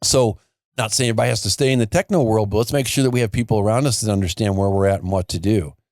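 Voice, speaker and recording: The speaker talks at a very fast pace with an American accent and very even loudness. The sound is dry and close with no echo, on a very clean recording with a silent background. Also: man, fairly low pitch for a man, ordinary pitch variation. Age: 60s. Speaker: foundation repair business owner. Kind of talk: podcast interview. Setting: studio.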